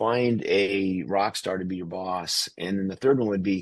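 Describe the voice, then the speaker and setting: Against a quiet background, a man with a normal speaking voice talks at a moderate pace in a fairly low pitch. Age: 60s. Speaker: company CEO. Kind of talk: podcast interview.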